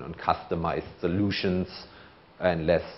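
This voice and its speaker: A man speaks in a very deep, low pitch with a slight German accent. His intonation is monotone and flat. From Germany. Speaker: conference speaker, procurement manager. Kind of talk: conference talk.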